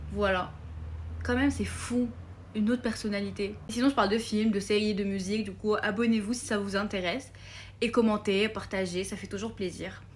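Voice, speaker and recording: With a non-native accent, a woman talks in a flat monotone with vocal fry. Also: medium pitch for a woman, moderate pace. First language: not French (speaking French). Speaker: film content creator. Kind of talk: casual vlog. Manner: hesitant, many fillers.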